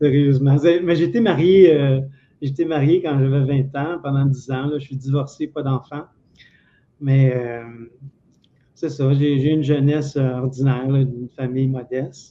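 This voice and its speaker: A man with a Quebec accent speaks fairly slowly at a fairly high pitch, with fairly even intonation and long, frequent pauses. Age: 60s. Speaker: former telephone technician. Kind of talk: interview.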